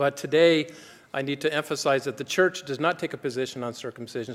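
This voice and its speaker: Speaking at a fairly quick pace with an American accent, a man uses an unremarkable speaking voice at a fairly high pitch with fairly even intonation. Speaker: doctor, gynecologist speaking at a conference. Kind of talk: conference talk.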